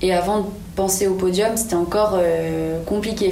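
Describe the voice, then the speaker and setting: Against noticeable background noise and audible room echo, a woman with a medium pitch talks at a fairly slow pace and with fairly even intonation. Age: 20s. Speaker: olympic climber. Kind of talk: interview.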